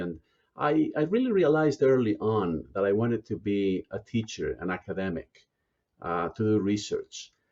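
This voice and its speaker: A man with a Spanish accent talks at a moderate pace in a fairly low pitch. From Spain, small provincial town. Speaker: business school dean. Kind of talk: interview. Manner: halting, many fillers.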